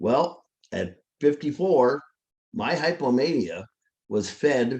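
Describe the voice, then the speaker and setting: This man talks with very wide swings in pitch. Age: 70s. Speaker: mental health peer speaker. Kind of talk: personal testimony at a workshop.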